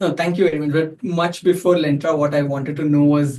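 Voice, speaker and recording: A man speaks at a fairly quick pace in a normal speaking voice. His pitch sits fairly high. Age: 30s. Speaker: podcast host. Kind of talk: interview.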